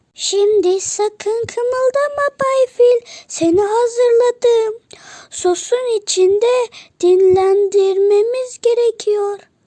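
Using a put-on character voice, a woman pitches her words extremely high. Her delivery is very slow. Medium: read story. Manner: sly.

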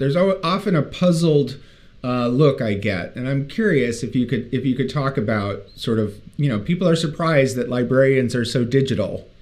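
A man speaks at a moderate pace with lively intonation and a medium pitch. He has an unremarkable speaking voice. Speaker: podcast co-host. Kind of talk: podcast interview.

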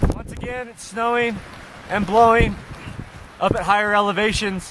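A man speaks in a raised, projected voice with monotone, flat intonation at a moderate pace, the sound dry with no echo but with noticeable background noise. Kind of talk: field report. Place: open country. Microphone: camera far.

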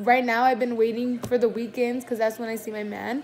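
A woman speaks with a fairly high pitch. Faint music plays in the background. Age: 20s. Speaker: YouTuber; vlogger. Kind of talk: mukbang Q&A vlog; casual vlog chat. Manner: animated. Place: home room. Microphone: phone near.

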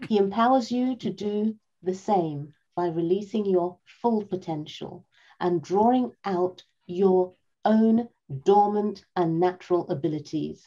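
A woman speaks at a fairly slow pace in a dark, mellow tone. Her pitch variation is ordinary, and the background is quiet. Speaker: event moderator. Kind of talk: event moderation. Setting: video call. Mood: warm, cheerful, smiling. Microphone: video call.

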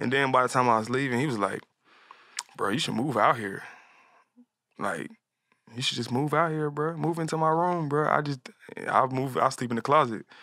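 Against a quiet background with dry sound and no echo, a man talks at a fairly quick pace, with ordinary pitch variation and long, frequent pauses. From US South, Atlanta; US South. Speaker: music producer and artist; guest. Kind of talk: casual interview chat. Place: studio. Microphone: studio mic.

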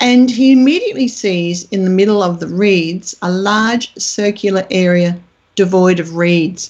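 A woman with an Australian accent, medium in pitch, at a fairly slow pace with ordinary pitch variation. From Australia, country Queensland. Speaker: UFO researcher. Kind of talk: interview. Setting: remote call.

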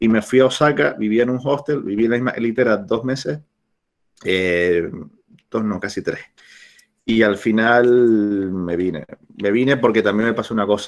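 With a Canarian accent, a man speaks at medium pitch with ordinary pitch variation and long, frequent pauses. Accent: Canarian, sing-song. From Canary Islands, La Palma; Canary Islands. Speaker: travel blogger and entrepreneur; travel blogger. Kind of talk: talk; informal talk over slides. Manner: fast. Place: home room. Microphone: webcam.

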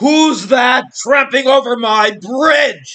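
In a put-on character voice, a man bellows at an extremely high pitch and a very slow pace. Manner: roaring.

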